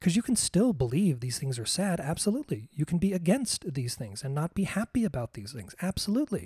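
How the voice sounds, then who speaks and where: On a very clean recording with a silent background, a man talks at a fairly quick pace with hardly any pauses. His pitch is high, with very wide swings. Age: 40s. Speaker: podcast host. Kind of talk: solo monologue. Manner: halting.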